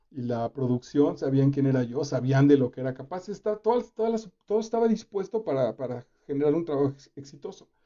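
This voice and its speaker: A man with a Mexican accent talks at a fairly high pitch and a fairly quick pace. His pitch swings very widely, with hardly any pauses. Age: 50s. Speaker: actor and reading host. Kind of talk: reading commentary livestream. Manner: casual, animated.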